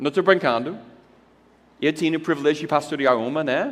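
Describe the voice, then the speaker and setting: A man speaks at a moderate pace. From United States. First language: English (speaking Portuguese). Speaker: pastor. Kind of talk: conference talk. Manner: animated.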